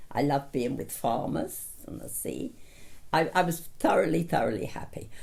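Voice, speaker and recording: With a southern English accent, a woman speaks at a moderate pace. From south London. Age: 90s. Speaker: retiree interviewee. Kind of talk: life story interview.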